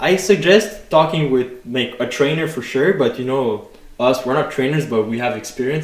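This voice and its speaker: A man's fairly high voice, with ordinary variation in pitch, moves at a moderate speed while noticeable noise fills the background. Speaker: fitness podcast co-host. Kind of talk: casual podcast chat. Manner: loud; hesitant, many fillers.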